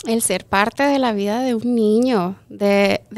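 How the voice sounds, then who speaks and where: The woman talks at a fairly high pitch. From Chihuahua, Mexico, then Montrose, Colorado; Chihuahua, Mexico. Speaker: kindergarten teacher. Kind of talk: interview. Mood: warm, heartfelt. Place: studio. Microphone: studio mic.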